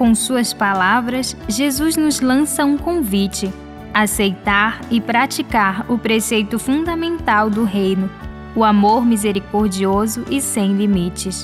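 A woman with a fairly high pitch speaks very slowly, with lively intonation and very even loudness, while music plays in the background. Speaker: radio presenter. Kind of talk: religious radio reflection.

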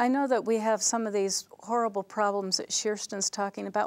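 In an American accent, a woman talks at a fairly quick pace with ordinary pitch variation. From Delta, Utah area; Utah. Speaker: university panel moderator. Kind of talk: panel discussion. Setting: on campus studio. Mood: earnest, attentive. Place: studio. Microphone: lapel.

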